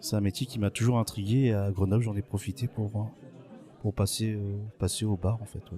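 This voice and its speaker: Monotone and flat, a man speaks at a moderate pace in a dark, mellow, somewhat breathy tone. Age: 40s. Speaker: bartender. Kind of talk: interview. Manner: hesitant, many fillers.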